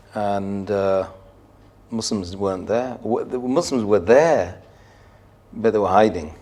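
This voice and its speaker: Talking at a fairly slow pace with long, frequent pauses, a man with a southern English accent has a fairly low pitch, a dark, mellow tone and ordinary pitch variation. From southern England, Surrey. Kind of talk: podcast interview.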